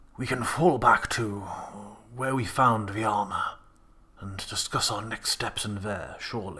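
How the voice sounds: A man's put-on character voice at medium pitch, broken by long, frequent pauses. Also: moderate pace.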